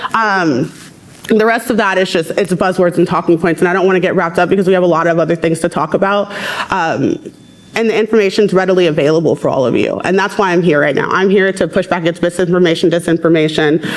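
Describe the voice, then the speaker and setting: Over noticeable background noise, a woman with an American accent speaks very fast at a fairly low pitch, her intonation fairly even and her loudness very even. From rural US South. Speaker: abortion rights advocate. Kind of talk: panel debate.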